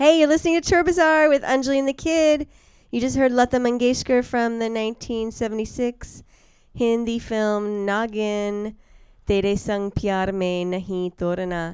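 Using a normal speaking voice, a woman talks at a fairly high pitch with lively intonation. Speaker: radio host. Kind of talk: radio dj patter. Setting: studio. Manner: chatty, casual, upbeat.

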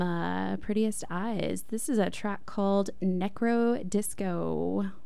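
A woman with an American accent talks with hardly any pauses. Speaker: radio host. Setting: radio studio. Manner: relaxed, conversational, filler-heavy with frequent 'um' and 'uh'; upbeat, chatty, informal, hedging and trailing off mid-sentence.

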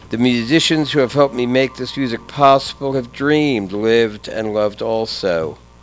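Moderate pace with ordinary pitch variation and hardly any pauses, amid noticeable background noise. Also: man, medium pitch for a man. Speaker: radio host. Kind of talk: radio DJ patter, tribute show. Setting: radio studio. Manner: measured, with frequent 'uh' fillers.

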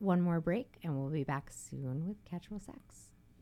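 Moderate pace, ordinary pitch variation, a plain, everyday voice. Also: woman. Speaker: radio host. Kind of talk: casual chat. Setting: studio.

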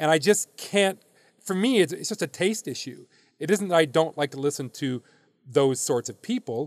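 An unremarkable speaking voice with an American accent and lively intonation, in a dry, close sound with no echo. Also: man, fairly high pitch for a man, moderate pace. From US Midwest. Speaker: baseball league commissioner. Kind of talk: interview.

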